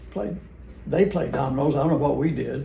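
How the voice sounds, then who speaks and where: A fairly high-pitched man with an American accent, heard with audible room echo. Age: 80s+. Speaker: family member reminiscing. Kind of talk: casual chat. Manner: halting.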